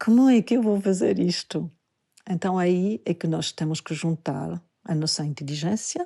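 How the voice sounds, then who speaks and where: A woman with a non-native accent speaks in a dark, mellow, somewhat breathy tone at a fairly slow pace, her pitch varying in an ordinary way. The sound is dry and close with no echo, over a quiet background. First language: not Portuguese (speaking Portuguese). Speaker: Buddhist teacher and dancer. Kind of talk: podcast talk, spiritual teaching.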